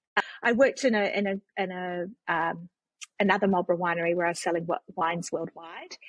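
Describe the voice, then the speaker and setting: With a New Zealand accent, a woman speaks at a very fast pace and a medium pitch. Her intonation is fairly even, and the sound is dry and close with no echo. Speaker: non-profit CEO and tech consultant. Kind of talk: podcast interview.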